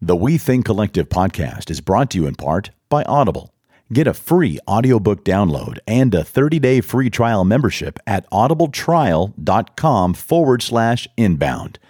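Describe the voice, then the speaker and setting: With hardly any pauses, a man's dark, mellow voice shows vocal fry and very wide pitch swings on a very clean recording with a silent background. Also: medium pitch for a man, moderate pace, dry, close sound with no echo. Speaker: podcast producer and announcer. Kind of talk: ad read. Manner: rapping.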